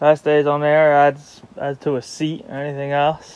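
Light background noise runs under speech delivered at a very slow pace. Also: man. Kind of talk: casual vlog tour narration. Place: boat. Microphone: phone near.

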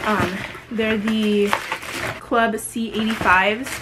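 A woman is speaking. Loud background noise runs underneath. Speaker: vlogger. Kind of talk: casual vlog chat. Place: home room. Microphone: phone near.

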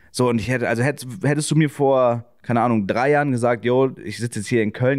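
Over a silent background in a very clean recording, a man with a plain, everyday voice speaks fairly quickly, his pitch varying in an ordinary way. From northern Germany, Schleswig-Holstein (Kiel suburb). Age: 20s. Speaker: streamer. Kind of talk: casual chat.

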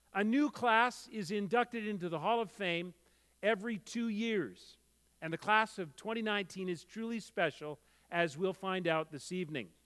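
A man with a high pitch, ordinary pitch variation and a moderate pace, set against a quiet background. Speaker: gala host. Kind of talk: formal ceremony speech. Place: hall. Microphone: headset.

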